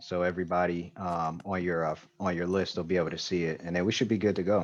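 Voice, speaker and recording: A man talks at a very fast pace with a very deep, low pitch and monotone, flat intonation. The background is quiet. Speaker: livestream interview host. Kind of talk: casual chat. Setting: video call. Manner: soft-spoken. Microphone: too quiet for the guest.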